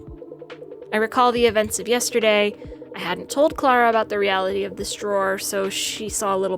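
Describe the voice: The recording captures plain reading aloud.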